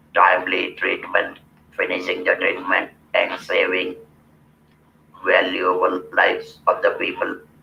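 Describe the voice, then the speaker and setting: With noticeable background noise, a man talks at a fairly slow pace, leaving long, frequent pauses. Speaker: cancer survivor giving a talk. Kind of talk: public speaking, motivational. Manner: earnest, emphatic.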